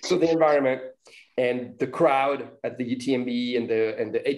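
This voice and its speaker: A man's medium-pitched voice in a French accent. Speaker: podcast host. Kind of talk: interview.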